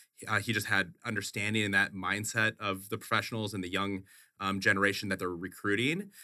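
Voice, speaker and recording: In a very clean recording, silent background, a man with an American accent speaks fairly quickly at a fairly low pitch, using a bright, sharp tone and monotone, flat intonation. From Wisconsin. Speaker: chief financial officer. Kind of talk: interview. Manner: halting, many repeated words.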